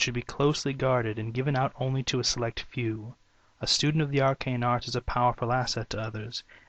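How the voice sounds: The voice is a natural reading voice. Its intonation is fairly even.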